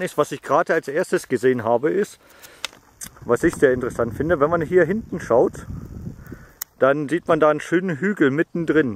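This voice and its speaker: A man speaks fairly quickly, his pitch fairly high and its variation ordinary. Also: dry, close sound with no echo. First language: German. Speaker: metal detectorist. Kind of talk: casual video commentary. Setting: outdoors. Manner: halting.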